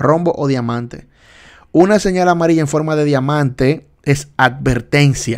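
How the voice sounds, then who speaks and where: Against a quiet background, a man speaks at a moderate pace with a fairly high pitch and ordinary pitch variation. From Dominican Republic. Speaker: driving test tutor, livestream host; driving test instructor. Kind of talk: live study session quiz tutorial. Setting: livestream. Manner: animated, repetitive teaching. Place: home room.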